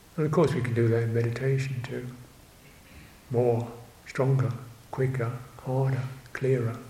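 Noticeable background noise runs behind a man speaking in a monotone, flat intonation. He leaves long, frequent pauses. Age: 70s. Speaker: Buddhist monk teacher. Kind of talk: dharma talk. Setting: monastery. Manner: halting.

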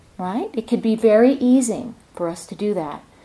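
At a moderate pace, a woman with a fairly high pitch speaks in a dark, mellow tone. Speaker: meditation teacher. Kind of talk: guided meditation and dharma talk. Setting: retreat center hall with audience. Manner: soft-spoken.

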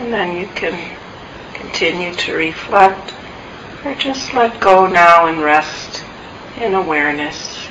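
A woman speaks very slowly at a fairly low pitch with ordinary pitch variation and long, frequent pauses, over noticeable background noise. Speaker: meditation teacher. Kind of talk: guided meditation. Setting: meditation center, recorded talk. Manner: slow, soft-spoken, calm; gentle, soothing, with long pauses.

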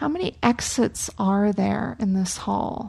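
Over a quiet background, a woman speaks in a somewhat breathy voice with a gentle, soothing tone that is dark and mellow. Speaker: meditation teacher. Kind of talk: guided meditation and dharma talk. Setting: meditation hall at a retreat center. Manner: slow, gentle, soothing, calm and unhurried; warm, inviting, soft-spoken.

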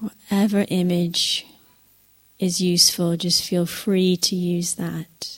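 Her voice has a warm, gentle tone and a fairly low pitch. The woman speaks at a very slow pace with monotone, flat intonation. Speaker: meditation teacher. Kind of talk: guided meditation. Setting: retreat centre talk. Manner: soft, slow and gentle, with long pauses between phrases; warm, reassuring and invitational.

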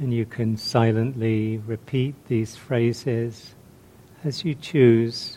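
Over noticeable background noise, a man speaks at a very slow pace with a gentle tone. His medium pitch carries fairly even intonation. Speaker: meditation teacher. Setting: meditation retreat. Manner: slow, gentle, soft-spoken with long pauses; calm, warm, reflective.

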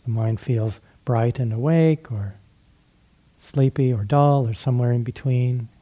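A man's somewhat breathy voice, dark and mellow with a gentle, soothing tone, broken by long, frequent pauses. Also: medium pitch for a man, fairly even intonation, fairly slow pace. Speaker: meditation teacher. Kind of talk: guided meditation. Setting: retreat. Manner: slow, gentle, soothing; halting, with frequent pauses.

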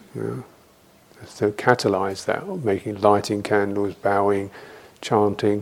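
This man speaks with a southern English accent. His pitch is fairly low and his pace fairly slow. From London, England. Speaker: Buddhist monk and meditation teacher. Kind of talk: dharma talk with Q&A; guided meditation. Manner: halting, with frequent fillers.

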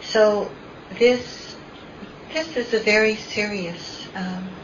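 Noticeable background noise sits behind a woman who speaks with ordinary pitch variation. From Philippines. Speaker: meditation teacher. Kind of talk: dharma talk. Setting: meditation center with audience.

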